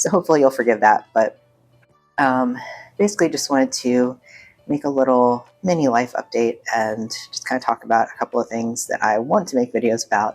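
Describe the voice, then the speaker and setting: Over music in the background, a woman talks at a fairly quick pace in a very deep, low pitch with ordinary pitch variation. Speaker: YouTuber vlogging a life update. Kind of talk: casual chat. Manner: casual, hesitant with many ums.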